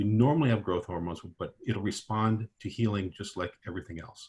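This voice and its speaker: A man's fairly low, somewhat breathy voice with fairly even intonation. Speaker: physician, orthopedic and regenerative medicine. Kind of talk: webinar presentation. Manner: fast.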